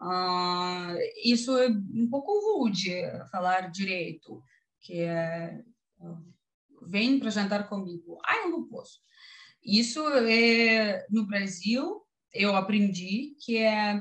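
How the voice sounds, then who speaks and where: Over a quiet background, a woman with a strong Russian accent speaks at a very slow pace with long, frequent pauses, her medium pitch somewhat breathy and showing ordinary variation. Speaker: YouTuber. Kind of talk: interview answer. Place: home room. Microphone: video call.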